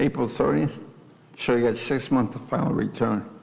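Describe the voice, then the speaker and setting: Amid noticeable background noise and audible room echo, a man speaks at a fairly slow pace. His pitch varies in an ordinary way. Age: 80s+. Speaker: resident giving public comment. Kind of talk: public comment at council meeting. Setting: village board meeting room. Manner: insistent, interrupting.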